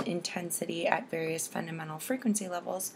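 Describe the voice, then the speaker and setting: A woman at a moderate pace and medium pitch, with ordinary pitch variation and noticeable background noise. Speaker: speech science student. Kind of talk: class assignment presentation.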